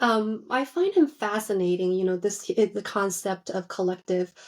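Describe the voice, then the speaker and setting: A woman speaks with a Chinese accent and ordinary pitch variation. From China, moved to US at age eleven. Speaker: psychiatrist. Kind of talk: casual interview chat. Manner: hesitant, with fillers.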